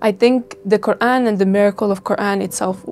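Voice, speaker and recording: A woman talks at a medium pitch with monotone, flat intonation. Noticeable background noise is present. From Estonia. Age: 20s. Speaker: university student, convert interviewee. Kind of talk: interview testimony. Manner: hesitant, with fillers.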